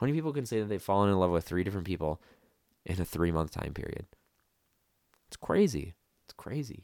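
With an American accent, a man speaks very fast at a fairly low pitch, using lively intonation, big swings in loudness and long, frequent pauses, in a dry, close sound with no echo. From US Midwest. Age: 20s. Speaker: podcaster with borderline personality disorder. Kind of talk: personal monologue. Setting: solo podcast recording. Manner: halting, with fillers and repetitions.

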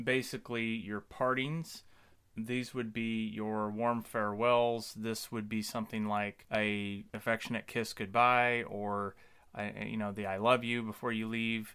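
On a very clean recording with a silent background, a man with a medium pitch and a bright, sharp tone speaks at a fairly slow pace with fairly even intonation. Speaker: podcast host. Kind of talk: scripted intro then casual conversation.

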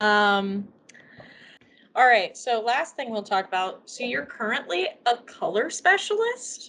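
A high-pitched woman with a Midwestern accent, fairly slow in pace, her pitch swinging very widely. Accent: general Midwestern American. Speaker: podcast co-host. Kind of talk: casual chat. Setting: video call.

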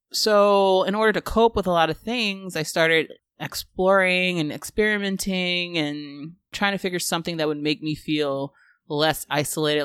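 A woman with an unremarkable speaking voice talks at a fairly slow pace and a fairly low pitch, her intonation lively. The sound is dry and close, with no echo. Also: very clean recording, silent background. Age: 30s. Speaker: podcast host, project manager. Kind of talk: personal monologue. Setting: home recording with open window, street noise.

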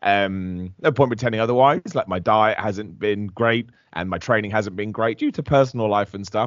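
A man talks with a southern English accent. His pitch is fairly low and his pace fairly quick. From England, Luton. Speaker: professional wrestler. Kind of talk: casual interview.

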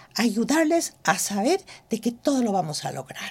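A woman speaks fairly slowly with a dark, mellow tone. Her fairly high voice swings very widely in pitch. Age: 60s. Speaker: cosmetic trichologist and entrepreneur. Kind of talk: interview. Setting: studio.

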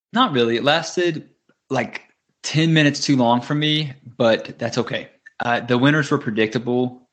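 A man talks at a moderate pace and medium pitch with a strong Southern US accent. His pitch variation is ordinary, and he takes long, frequent pauses. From US South. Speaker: podcast co-host. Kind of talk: casual chat. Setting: video call.

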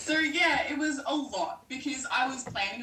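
At a moderate pace, a woman talks with audible room echo and noticeable background noise. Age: 20s. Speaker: nursing and paramedicine student. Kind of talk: casual chat.

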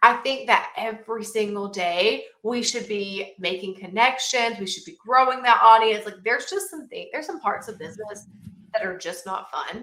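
A woman with a Southern US accent, a fairly high pitch and an animated tone, at a moderate pace, with ordinary pitch variation and big swings in loudness. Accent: Southern US (Georgia). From US South, southern Georgia. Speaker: marketing coach. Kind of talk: interview. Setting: video call.

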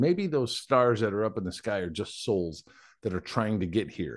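A man with an unremarkable speaking voice talks at a moderate pace, his pitch fairly low and his intonation lively. The background is quiet. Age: 40s. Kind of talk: casual chat.

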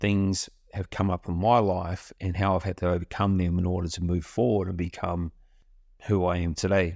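A man speaks at a very deep, low pitch on a very clean recording with a silent background. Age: 50s. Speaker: podcast host, self-development coach. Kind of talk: solo motivational monologue. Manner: casual, conversational.

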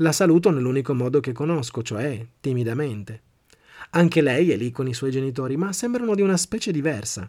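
Lively intonation from a man at a moderate pace, very clean recording, silent background. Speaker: podcast host and motivational speaker. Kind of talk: scripted narration.

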